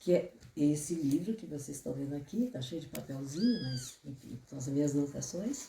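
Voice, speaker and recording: A woman's very deep, low, somewhat breathy voice with a dark, mellow tone, lively intonation, big swings in loudness and a moderate pace. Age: 70s. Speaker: therapist and author. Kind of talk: book presentation talk.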